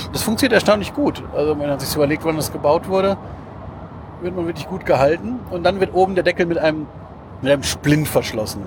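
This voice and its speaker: Over noticeable background noise, the speaker talks at a very fast pace with lively intonation, broken by long, frequent pauses. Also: man, high pitch for a man. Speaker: podcast host. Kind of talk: casual chat. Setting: in a car.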